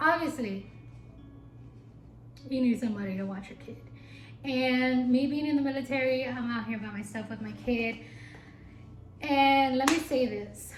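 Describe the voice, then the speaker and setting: An animated woman's voice, high in pitch with ordinary pitch variation, big swings in loudness and long, frequent pauses, plus audible room echo and noticeable background noise. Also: moderate pace. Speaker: YouTuber, single mom in the military. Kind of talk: casual vlog monologue.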